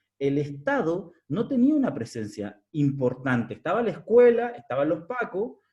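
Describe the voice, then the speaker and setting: A Chilean accent with very wide pitch swings. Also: man. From southern Chile, Araucanía (Curarrehue). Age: 30s. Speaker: researcher presenting a study. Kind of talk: academic seminar talk.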